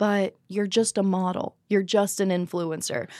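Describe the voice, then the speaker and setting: A woman speaks in a normal speaking voice with an American accent, at medium pitch and a moderate pace. The recording is very clean, with a silent background. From US Southeast (the Carolinas). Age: 20s. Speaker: adult film performer. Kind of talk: casual interview.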